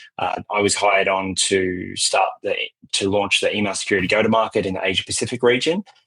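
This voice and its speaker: With an Australian accent, this speaker rattles along at a very fast pace. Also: man. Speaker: cybersecurity vendor executive. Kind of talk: interview. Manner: halting, frequent repetitions.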